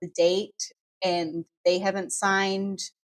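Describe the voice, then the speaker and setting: With a New Zealand accent, a woman speaks at a medium pitch. Her pace is very slow and her intonation fairly even. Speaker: law firm staff member. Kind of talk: casual podcast chat.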